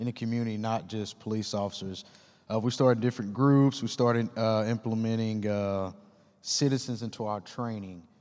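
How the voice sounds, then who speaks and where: Speaking in an unremarkable speaking voice, a man keeps a moderate pace, medium pitch and fairly even intonation. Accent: American. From Texas, Dallas-Fort Worth. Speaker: police officer. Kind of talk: panel discussion.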